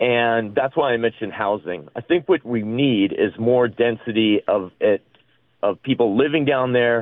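The man has an unremarkable speaking voice with an American accent. His pitch is medium, his pace moderate, and his pitch variation ordinary. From US East Coast. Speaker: architect. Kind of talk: radio interview.

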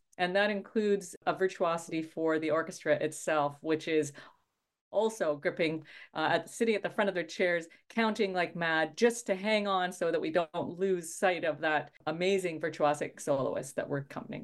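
Ordinary pitch variation and a moderate pace in a Canadian Prairie accent, against a quiet background. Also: woman, fairly low pitch for a woman. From Saskatchewan, Canada. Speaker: orchestra conductor. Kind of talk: radio interview.

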